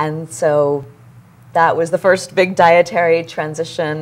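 A woman speaks with a very deep, low pitch and ordinary pitch variation. Light background noise is present. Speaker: guest. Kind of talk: interview answer. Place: studio.

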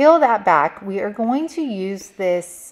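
A woman's lively intonation at a very slow pace against a quiet background. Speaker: DIY crafter and video creator. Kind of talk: tutorial. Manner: casual and chatty.

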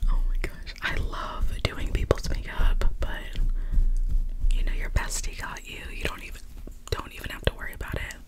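Over loud background noise, a woman whispers in a warm tone at a moderate pace, with long, frequent pauses. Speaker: makeup roleplay creator. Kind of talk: soft-spoken roleplay chat. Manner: warm smiling whisper. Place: home room. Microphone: earbuds.

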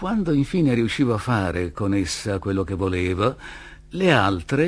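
Someone is reading aloud. The voice is natural.

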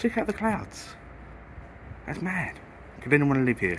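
A man talks in a British accent. Light background noise sits behind him. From UK. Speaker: travel vlogger. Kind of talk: casual travel vlog narration. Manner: animated. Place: boat. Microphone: phone near.

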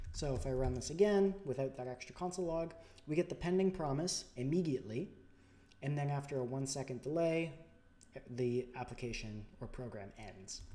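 A man uses lively intonation and a dark, mellow tone while speaking at a moderate pace. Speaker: programming tutorial YouTuber. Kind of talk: tutorial. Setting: home recording with new microphone, screen capture. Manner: soft-spoken, somewhat unenthusiastic; informal, explanatory.

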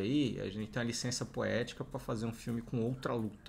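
This man's voice has a somewhat breathy quality. He speaks at a fairly quick pace. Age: 30s. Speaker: youtuber; podcast co-host. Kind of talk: casual chat. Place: home room. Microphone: studio mic.

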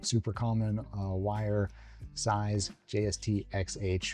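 A man speaks with fairly low pitch and fairly even intonation. The sound is dry with no echo, and faint music plays in the background. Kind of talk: tutorial. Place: home room. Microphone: lapel.

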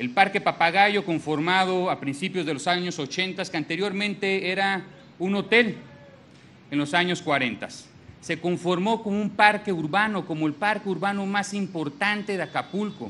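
With a Mexican accent, a man projects a raised, high-pitched voice of bright, sharp tone at a moderate pace with ordinary pitch variation. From Mexico. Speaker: government minister. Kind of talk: public speech. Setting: public event with audience. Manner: formal. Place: hall. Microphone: podium.

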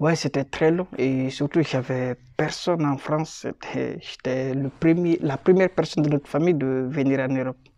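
A man talks at a moderate pace with fairly high pitch, a dark, mellow tone and fairly even intonation. The sound is dry with no echo over a quiet background. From Guinea. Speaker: refugee, student; interviewee. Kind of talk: testimony. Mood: calm, serious recounting hardship. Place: office. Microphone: phone near.

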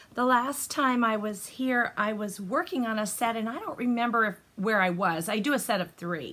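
With a bright, sharp tone, a woman speaks at a fairly slow pace. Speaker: knitting podcaster. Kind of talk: casual vlog chat. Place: home room. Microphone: phone near.

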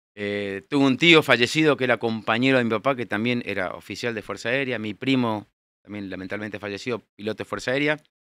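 Bright and sharp in tone, a man talks at a very fast pace. The sound is dry with no echo. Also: ordinary pitch variation, quiet background. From Buenos Aires, Argentina; Argentina. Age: 60s. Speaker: air force general; guest. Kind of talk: interview. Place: studio. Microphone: studio mic.

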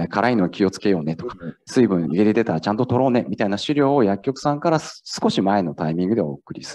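Against a quiet background, a man with a fairly low pitch and a dark, mellow tone talks at a very fast pace with lively intonation. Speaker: startup founder, former hospital pharmacist; presenter. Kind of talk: startup pitch. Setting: stage with audience. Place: hall.

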